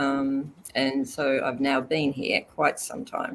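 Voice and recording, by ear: With an Australian accent, a woman talks slowly at an extremely low pitch, her fairly bright tone showing little pitch movement.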